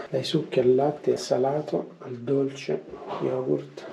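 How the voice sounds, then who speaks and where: A man at medium pitch with ordinary pitch variation, speaking at a fairly slow pace over noticeable background noise. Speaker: motorcycle travel vlogger. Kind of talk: travel vlog commentary. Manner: animated.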